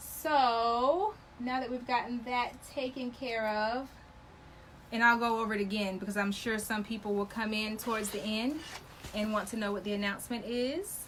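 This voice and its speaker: With audible room echo, a woman talks at a moderate pace in a fairly high pitch, her tone animated. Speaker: sewing and embroidery instructor. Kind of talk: live stream sales pitch. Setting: live video stream.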